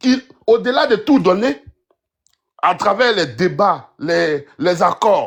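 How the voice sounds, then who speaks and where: A man talks very slowly, with long, frequent pauses. His voice is loud and high-pitched, with very wide pitch swings. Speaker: political commentator. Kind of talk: heated debate.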